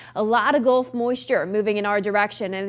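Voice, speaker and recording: Speaking at a fairly quick pace, a woman with an ordinary speaking voice keeps a fairly high pitch and fairly even intonation. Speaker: TV meteorologist. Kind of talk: TV weather broadcast.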